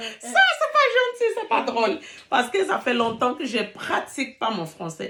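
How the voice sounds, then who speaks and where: A woman talks fairly slowly, with noticeable noise in the background. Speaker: relationship coach YouTuber. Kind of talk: casual vlog talk. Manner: hesitant with fillers; halting, searching for words.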